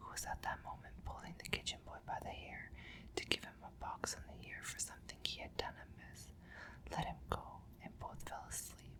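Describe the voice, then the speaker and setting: Whispering at a moderate pace in a soothing tone, the voice sits over noticeable background noise. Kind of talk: ASMR bedtime story reading. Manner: whispered, soothing.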